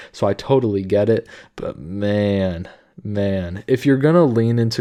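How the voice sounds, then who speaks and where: A man with a fairly low pitch and a dark, mellow tone speaks against a quiet background. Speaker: YouTube commentator. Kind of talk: casual commentary. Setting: home recording at midnight. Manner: quiet, subdued; casual, filler-heavy.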